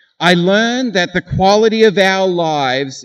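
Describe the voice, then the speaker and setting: This man has an Australian accent and a high pitch. His intonation is lively and his pace fairly slow. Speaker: graduation speaker. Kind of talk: commencement speech.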